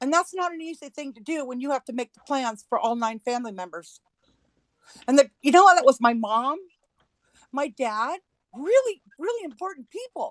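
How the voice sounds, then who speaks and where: A woman with a high pitch talks at a moderate pace, leaving long, frequent pauses. Her pitch swings very widely and her loudness shifts in big swings, in a dry, close sound with no echo. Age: 60s. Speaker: livestream broadcaster. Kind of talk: heated rant on livestream.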